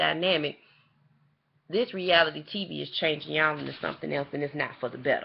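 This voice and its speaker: A woman speaks with vocal fry. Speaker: TV show reviewer, vlogger. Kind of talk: casual opinion vlog, direct to camera. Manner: fast; animated, impassioned.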